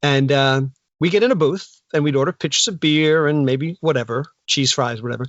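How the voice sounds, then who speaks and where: With a New Jersey accent, a man talks at a fairly high pitch with ordinary pitch variation. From Northern New Jersey. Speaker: actor. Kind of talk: casual interview chat. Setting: remote call from home.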